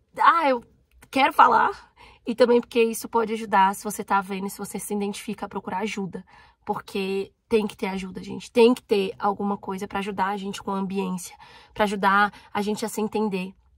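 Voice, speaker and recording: Her voice is a plain, everyday voice, medium in pitch, moving at a fairly quick pace with fairly even intonation and big swings in loudness. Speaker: YouTuber. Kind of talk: personal vlog.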